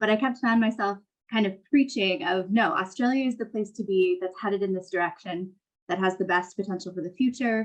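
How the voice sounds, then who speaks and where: A woman with an American accent speaks at a fairly quick pace in a plain, everyday voice, her medium pitch showing ordinary variation. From California. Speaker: technology investment strategist. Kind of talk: panel discussion.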